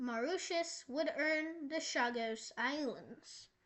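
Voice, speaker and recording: A woman speaks at a very slow pace. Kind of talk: educational history and map narration. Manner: casual.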